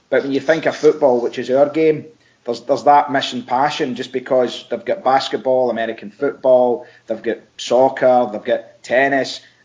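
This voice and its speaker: A man speaks with a Scottish accent at a medium pitch. His pace is moderate and his intonation fairly even. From Scotland. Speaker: football coach, former player. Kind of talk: podcast interview.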